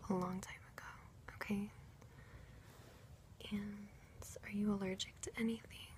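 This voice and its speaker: Soft-spoken whispering comes at a moderate pace, broken by long, frequent pauses over noticeable background noise. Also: woman. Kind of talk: ASMR role play. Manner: soft-spoken, whispered.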